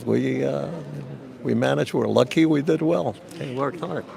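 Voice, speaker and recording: At a moderate pace, a man's voice is heard against noticeable background noise. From Cuba, raised New Jersey. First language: Spanish. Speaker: businessman. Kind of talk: red carpet interview.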